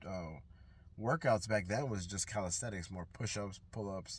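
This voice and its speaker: Somewhat breathy, a man with an American accent and fairly low pitch speaks at a moderate pace with ordinary pitch variation. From New York. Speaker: fitness vlogger. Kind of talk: casual vlog monologue. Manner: casual, hesitant with fillers.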